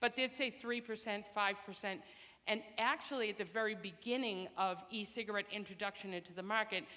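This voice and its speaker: Delivery is fairly quick, and the pitch rises and falls in an ordinary way. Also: woman. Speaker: public health program director. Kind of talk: public information talk. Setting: presentation to audience.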